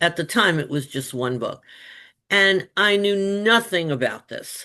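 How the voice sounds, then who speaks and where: A woman speaks with very wide pitch swings against a quiet background. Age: 70s. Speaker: children's book author, former teacher. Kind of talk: interview.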